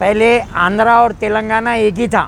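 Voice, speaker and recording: A man's high-pitched voice. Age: 60s. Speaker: mango trader. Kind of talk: interview.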